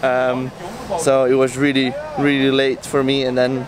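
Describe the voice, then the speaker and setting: Light background noise, dry sound with no echo, and a man at a moderate pace. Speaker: boat team member vlogger. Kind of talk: casual vlog chat. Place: street. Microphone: phone near.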